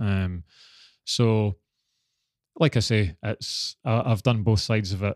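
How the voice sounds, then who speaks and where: In a Scottish accent, a man with a fairly low pitch and ordinary pitch variation talks at a very slow pace with long, frequent pauses, recorded dry and close with no echo on a very clean, silent background. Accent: Scottish (Fife). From Scotland, Dunfermline (Fife). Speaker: retired Olympic sprinter. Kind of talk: interview.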